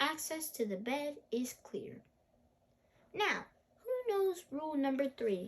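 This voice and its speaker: Using a put-on character voice at a high pitch, a woman speaks at a fairly slow pace with long, frequent pauses. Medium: read story. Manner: strict, formal.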